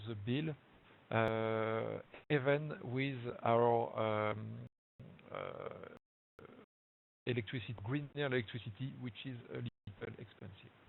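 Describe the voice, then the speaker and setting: A man's medium-pitched voice with a strong French accent, ordinary pitch variation and a very slow pace. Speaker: local government energy officer. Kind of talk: webinar presentation. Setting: online webinar. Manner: halting, many fillers.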